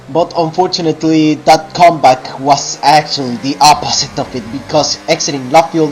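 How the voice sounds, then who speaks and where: Against noticeable background noise, a man speaks at a moderate pace with hardly any pauses. His voice is fairly high, and his intonation is fairly even. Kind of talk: sim racing commentary. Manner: casual.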